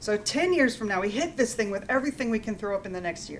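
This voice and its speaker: A woman speaks at a fairly quick pace with a fairly high pitch and lively intonation. There is light background noise. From USA. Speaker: engineering professor. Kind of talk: lecture. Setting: stage with audience. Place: meeting room.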